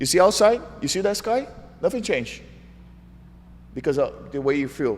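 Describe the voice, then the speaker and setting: In an animated, high voice with very wide pitch swings, a man speaks at a moderate pace broken by long, frequent pauses. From Brazil, João Pessoa. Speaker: jiu-jitsu world champion. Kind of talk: interview.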